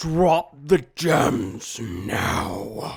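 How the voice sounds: A man's put-on character voice, raspy and guttural, at medium pitch.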